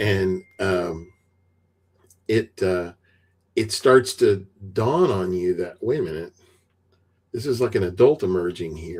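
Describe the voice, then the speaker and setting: A man talks at a fairly slow pace with long, frequent pauses. His voice is fairly low and somewhat breathy, with ordinary pitch variation. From US South. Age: 60s. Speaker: retired IT veteran and author. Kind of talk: podcast interview.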